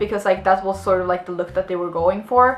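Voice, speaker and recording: A woman talks with a slight Swedish accent and ordinary pitch variation. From Sweden. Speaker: vlogger, actress. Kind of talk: casual storytelling vlog. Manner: many fillers and restarts.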